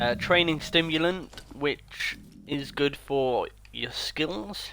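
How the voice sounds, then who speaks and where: Pitched fairly high with a bright, sharp tone, a man talks at a very slow pace with ordinary pitch variation. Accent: British. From Britain. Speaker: video game streamer. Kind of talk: live gameplay commentary. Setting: home streaming setup on console. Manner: casual, chatty.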